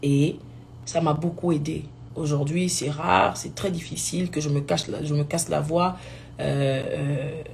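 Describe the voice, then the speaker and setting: A woman speaks in a very deep, low pitch with ordinary pitch variation, over noticeable background noise and audible room echo. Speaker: gospel singer. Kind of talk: live video talk. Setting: live stream.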